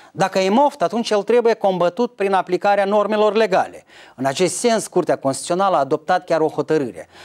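The speaker goes at a fairly quick pace against a quiet background. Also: man, high pitch for a man, lively intonation. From Moldova. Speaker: political commentator. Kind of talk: scripted commentary. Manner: formal. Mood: calm, mildly argumentative. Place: studio.

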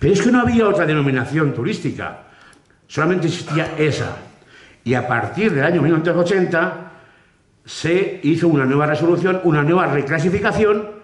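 Against a quiet background with audible room echo, a high-pitched man speaks at a very even loudness and with ordinary pitch variation. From Spain, Cuenca. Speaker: Holy Week proclaimer (pregonero). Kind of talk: public address at a Holy Week event. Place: hall. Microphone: podium.

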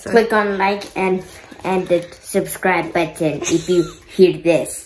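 A female-sounding, put-on character voice is squeaky at a medium pitch. It moves at a very slow pace. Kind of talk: YouTuber call to action.

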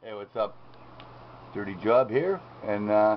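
The pace is moderate. There is light background noise. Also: man. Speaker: amateur radio hobbyist. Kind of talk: casual demo narration. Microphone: phone near.

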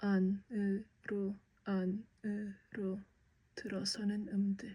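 A woman with a medium pitch speaks in a somewhat breathy voice with a dark, mellow tone. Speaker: aspiring actor. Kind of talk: poetry reading.

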